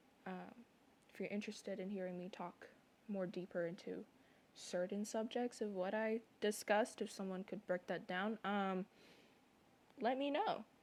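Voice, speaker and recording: Speaking at a moderate pace with fairly even intonation, a woman at medium pitch leaves long, frequent pauses. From moved around a lot, not Canada. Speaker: content creator, artist. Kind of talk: personal vlog monologue. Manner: rambling, halting.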